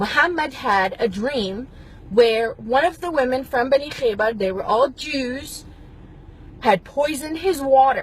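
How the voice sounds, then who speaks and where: A woman with a high voice talks at a fairly slow pace with lively intonation over noticeable background noise. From Middle East. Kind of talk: opinion monologue to camera.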